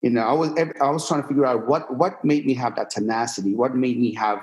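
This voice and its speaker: A man's voice at medium pitch, with ordinary pitch variation and a fairly quick pace. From Iran, moved to Pennsylvania at eleven. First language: Persian. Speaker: fitness entrepreneur and influencer. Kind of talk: podcast interview. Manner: casual conversational.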